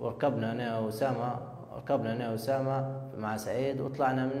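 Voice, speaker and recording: A man's monotone, flat delivery with audible room echo. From Libya. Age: 20s. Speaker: confessing suspect. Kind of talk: recorded confession. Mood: subdued, recounting. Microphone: lapel.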